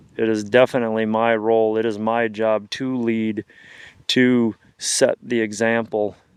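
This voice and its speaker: In a quiet background with a dry, close sound and no echo, a man with an American accent speaks fairly slowly at a medium pitch, his intonation flat and monotone. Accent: Upper Midwest accent he calls Canadian. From Wisconsin, US Upper Midwest. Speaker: hunting guide and outdoor filmmaker. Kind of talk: reflective monologue to camera; casual chat.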